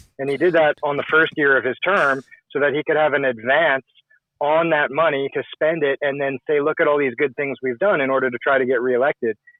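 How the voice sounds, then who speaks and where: A normal speaking voice from a man with a Canadian accent and fairly even intonation. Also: fairly high pitch for a man, fairly quick pace. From Canada, Saskatchewan. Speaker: call-in participant. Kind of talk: casual political discussion.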